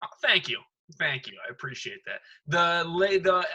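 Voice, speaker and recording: A loud man with an American accent and a bright, sharp tone. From Detroit area, Michigan. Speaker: stand-up comedian. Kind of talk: casual chat.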